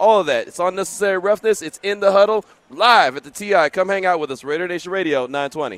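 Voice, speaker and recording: At a fairly quick pace, a man talks with a high pitch and lively intonation. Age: 40s. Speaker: sports radio host. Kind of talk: live sports talk radio. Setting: live broadcast from a casino sportsbook.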